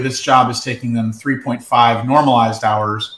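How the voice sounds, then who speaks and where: In an American accent, a man speaks at medium pitch. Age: 40s. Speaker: cleaning business co-founder. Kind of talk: casual chat.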